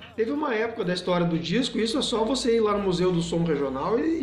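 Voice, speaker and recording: A man talks at a high pitch with lively intonation. Noticeable background noise and audible room echo are present. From southern Brazil, Rio Grande do Sul. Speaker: guitarist and music teacher. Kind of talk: interview. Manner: halting, with many repeated words.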